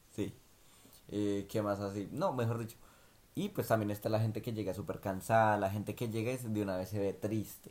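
Monotone, flat intonation at a moderate pace. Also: man, fairly low pitch for a man. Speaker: podcast co-host, migrant worker. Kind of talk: casual chat.

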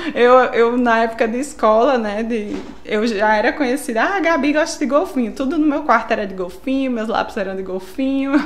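Fairly quick, nearly pauseless speech from a high-pitched woman with a northeastern Brazilian accent, amid audible room echo and noticeable background noise. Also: ordinary pitch variation. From São Paulo, Brazil. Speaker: biologist. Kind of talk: casual interview.

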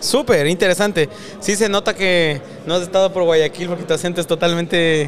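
High-pitched male speech at a moderate pace, fairly even intonation, noticeable background noise. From Ecuador. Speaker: podcast host. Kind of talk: interview, casual chat. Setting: event in Silicon Valley.

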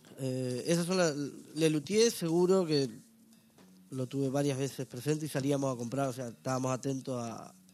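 A man talks at a medium pitch with ordinary pitch variation as music plays in the background. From northern Uruguay (Salto). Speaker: stand-up comedian. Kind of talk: casual interview chat.

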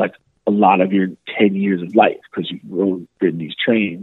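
A man with an American accent speaks at a moderate pace in an ordinary speaking voice. His pitch sits fairly low. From New York City. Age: 30s. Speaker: podcaster. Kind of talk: casual chat.

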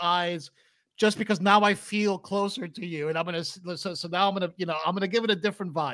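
A man's raised, projected voice, bright and sharp in tone, on a very clean recording with a silent background. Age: 40s. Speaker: podcast host and video game developer. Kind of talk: casual interview chat. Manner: halting, many fillers.

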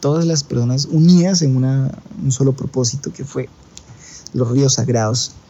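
Speaking at a fairly slow pace, a man uses a medium pitch and ordinary pitch variation, with noticeable background noise behind him. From Colombia. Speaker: traveler. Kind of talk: storytelling monologue. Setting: recording from India.

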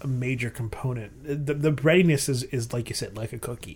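Somewhat breathy, the voice belongs to a man. His speed is moderate. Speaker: beer podcast host. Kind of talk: casual chat, beer tasting.

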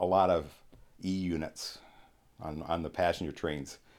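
The speaker talks at a fairly slow pace with a Canadian accent and fairly even intonation. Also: man. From Ontario, Canada (St. Thomas). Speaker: retired railroader. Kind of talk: casual chat.

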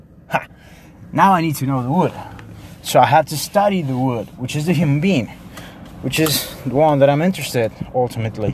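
A man's fairly high voice with a Spanish accent, at a fairly quick pace with long, frequent pauses, over noticeable background noise. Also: ordinary pitch variation. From Mexico. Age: 20s. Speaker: podcaster and theater artist. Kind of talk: casual monologue. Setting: walking outdoors in the street. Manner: rambling, halting with fillers.

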